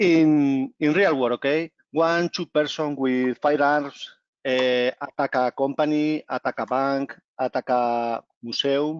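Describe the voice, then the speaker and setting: Speaking very slowly with a Spanish accent, a man uses a fairly high pitch and fairly even intonation. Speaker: company executive. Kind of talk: presentation. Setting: video call. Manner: halting.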